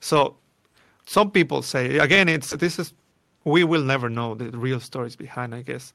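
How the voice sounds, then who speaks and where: A man speaks in a Spanish accent, his tone bright and sharp at medium pitch. His pace is moderate, with ordinary pitch variation and big swings in loudness. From Mexico City. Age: 30s. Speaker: film composer and sound designer. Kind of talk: casual interview chat. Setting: video call.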